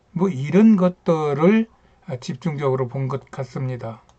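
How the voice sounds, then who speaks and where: A man's dark, mellow tone sits at a fairly high pitch, carried by lively intonation. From rural Korea. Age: 70s. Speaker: YouTuber, retired engineer. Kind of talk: casual talk on history and culture. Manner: halting, many fillers.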